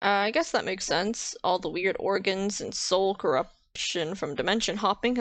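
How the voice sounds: The clip features a natural reading voice.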